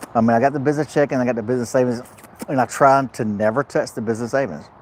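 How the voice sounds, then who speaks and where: Animated in tone, a man talks at a very fast pace. His pitch sits in the medium range. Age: 50s. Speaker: truck driver vlogger. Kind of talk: casual live vlog chat. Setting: truck repair shop. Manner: repetitive, animated.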